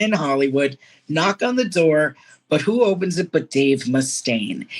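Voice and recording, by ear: This woman speaks at a fairly slow pace. Her voice sits low for a woman and swings widely in pitch.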